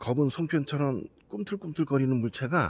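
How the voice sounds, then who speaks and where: With lively intonation, a man speaks at a fairly slow pace in a dry sound with no echo. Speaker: paranormal night vlogger. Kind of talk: casual talk to camera, livestream-style update to subscribers. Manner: earnest, spooked, rambling. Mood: earnest, spooked storytelling. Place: street. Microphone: phone near.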